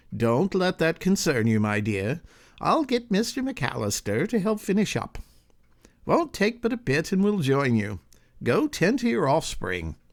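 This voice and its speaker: A man puts on a high-pitched character voice with very wide pitch swings and very even loudness at a moderate pace. The recording is very clean, with a silent background. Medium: read story. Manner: courtly, gentle.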